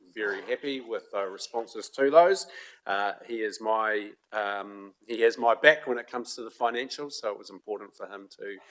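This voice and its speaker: At a moderate pace, a man talks with a New Zealand accent. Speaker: committee chair. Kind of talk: council meeting.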